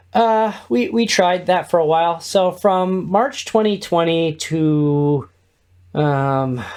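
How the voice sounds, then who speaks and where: Loud and very slow, a man with an American accent speaks in a high pitch with lively intonation on a very clean recording with a silent background. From US Midwest, Indiana (Kokomo). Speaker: podcast network co-founder and podcast host. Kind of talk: interview.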